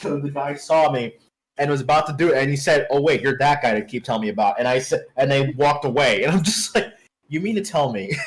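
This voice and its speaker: This man talks very fast in a fairly high voice, somewhat breathy, with lively intonation. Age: 20s. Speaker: streamer. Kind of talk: casual chat. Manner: halting.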